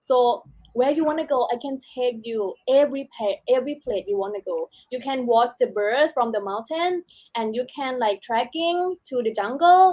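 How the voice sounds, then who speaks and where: A woman's high voice with a Thai accent and lively intonation. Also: moderate pace, dry, close sound with no echo. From southern Thailand, Chumphon. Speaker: beauty pageant contestant. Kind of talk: casual interview. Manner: halting.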